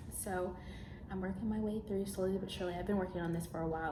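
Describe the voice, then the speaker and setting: A woman whispers very fast amid noticeable background noise and audible room echo. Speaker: vlogger and college intern. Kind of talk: vlog. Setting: office loft. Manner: whispering.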